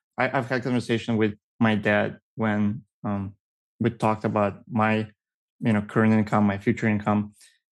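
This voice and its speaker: A man's fairly low, flat monotone at very even loudness, with a quiet background. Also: moderate pace. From Russia. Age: 30s. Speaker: guest couple seeking money advice. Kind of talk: casual chat. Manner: halting.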